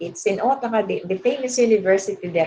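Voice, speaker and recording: This woman has a strong Filipino accent and a fairly high pitch. Her tone is dark and mellow. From Philippines. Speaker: education professor. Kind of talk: webinar lecture. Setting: online webinar. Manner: halting, many fillers.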